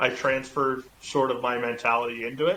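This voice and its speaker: Here is a man with a Canadian Maritime accent. His pitch is medium. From Eastern Canada (Halifax, Nova Scotia). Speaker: football quarterback. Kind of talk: podcast interview. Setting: podcast recording. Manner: loud, outgoing.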